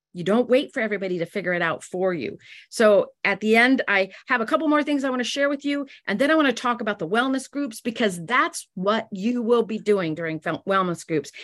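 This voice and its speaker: Over a quiet background, a woman with an unremarkable speaking voice and fairly high pitch talks at a fairly quick pace with lively intonation. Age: 60s. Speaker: direct sales business leader. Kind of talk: business talk.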